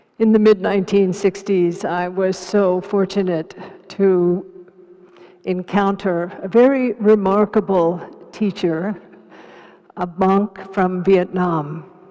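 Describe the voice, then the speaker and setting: A woman at medium pitch, very slow and monotone with flat intonation, against noticeable background noise. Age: 80s+. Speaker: Buddhist teacher and activist. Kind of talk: panel discussion.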